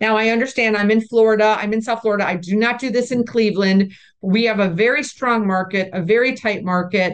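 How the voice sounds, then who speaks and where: A woman with a normal speaking voice talks at a fairly quick pace in a fairly high pitch, her intonation fairly even and her speech hardly pausing against a quiet background. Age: 60s. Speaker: commercial real estate broker and investor. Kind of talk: interview.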